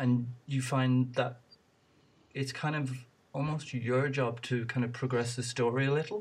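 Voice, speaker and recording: A man at medium pitch, somewhat breathy, at a fairly slow pace with long, frequent pauses and fairly even intonation, on a very clean recording with a silent background. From Ireland. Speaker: podcast host. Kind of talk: casual interview.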